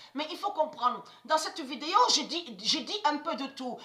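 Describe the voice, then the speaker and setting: Her voice raised and projected, a woman speaks at a fairly slow pace with a bright, sharp tone, high pitch and ordinary pitch variation. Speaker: conspiracy video blogger. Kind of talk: religious monologue to camera. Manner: halting, repetitive.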